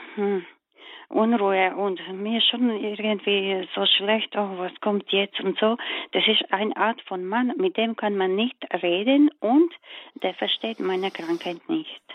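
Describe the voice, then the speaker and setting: A woman's medium-pitched voice, very slow and with lively intonation. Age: 40s. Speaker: caller. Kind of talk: phone-in call. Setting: phone call. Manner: halting.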